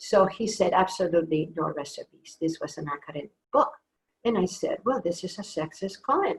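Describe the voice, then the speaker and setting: With a Spanish accent, a woman at medium pitch speaks at a fairly quick pace, somewhat breathy and with lively intonation. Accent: Spanish accent, noticeable. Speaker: author. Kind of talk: author talk. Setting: video call.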